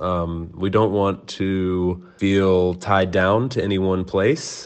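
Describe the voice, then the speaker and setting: Speaking in an American accent, the man has a very deep, low pitch. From United States. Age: 30s. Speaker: podcast host. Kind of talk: recorded voice note, reflective.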